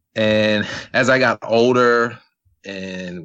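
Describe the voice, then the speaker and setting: A man talks at a fairly low pitch in an American accent. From US Mid-Atlantic, Eastern Shore of Maryland. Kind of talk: interview.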